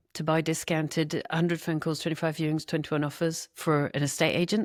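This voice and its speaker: This woman speaks with a Scottish accent in a very deep, low pitch. The recording is very clean, with a silent background. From Scotland. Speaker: property investor. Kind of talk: interview.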